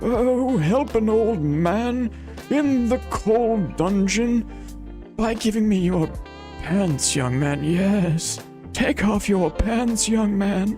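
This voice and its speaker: A put-on character voice at middle pitch moves at a very slow pace over clear music in the background. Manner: creepy, pleading.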